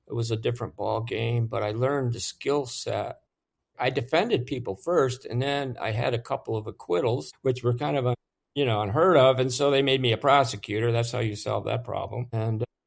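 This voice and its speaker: A somewhat breathy man at a medium pitch, with ordinary pitch variation and a fairly quick pace over a quiet background. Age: 70s. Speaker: war veteran, former military lawyer. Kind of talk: interview answer.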